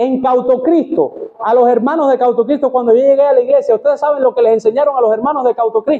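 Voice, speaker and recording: Over music in the background, a man speaks at a very fast pace with an extremely high pitch. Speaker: pastor. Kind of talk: sermon. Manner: animated.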